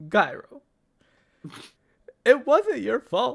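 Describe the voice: A cartoonish character voice with a fairly bright tone and vocal fry. It moves at a very slow pace with big pitch swings.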